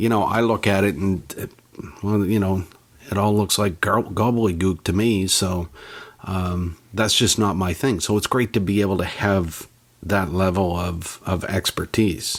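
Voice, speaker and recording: A man with a Canadian accent and a normal speaking voice talks at a fairly slow pace in a fairly low pitch, with fairly even intonation and very even loudness. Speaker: technology journalist and podcaster. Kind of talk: interview.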